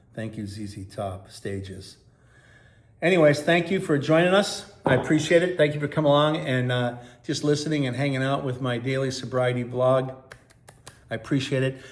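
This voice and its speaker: Over audible room echo, a man talks with lively intonation. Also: medium pitch for a man, moderate pace. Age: 60s. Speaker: sobriety vlogger. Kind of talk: casual vlog monologue.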